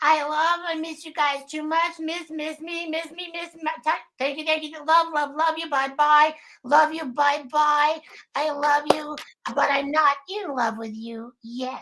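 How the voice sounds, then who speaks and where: A put-on character voice at a fairly slow pace, with fairly even intonation and big swings in loudness. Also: woman, high pitch for a woman. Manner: sleepy, sleepover voice; affectionate, sweet.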